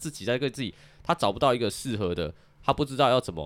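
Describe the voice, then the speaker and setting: On a very clean recording with a silent background, a man talks at a medium pitch and a very fast pace with lively intonation and vocal fry, the sound dry and close with no echo. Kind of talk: casual chat.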